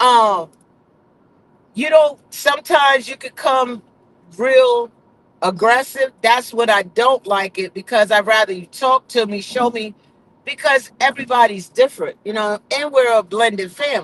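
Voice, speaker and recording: A man speaks at an extremely high pitch and a fairly slow pace. His loudness swings widely, in a dry, close recording with no echo. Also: ordinary pitch variation. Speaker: vlogger. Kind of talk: casual chat. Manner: animated.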